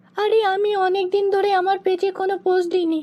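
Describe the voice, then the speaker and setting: A woman's dramatic, cartoonish character voice, extremely high in pitch, at a moderate pace. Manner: sharp, dramatic.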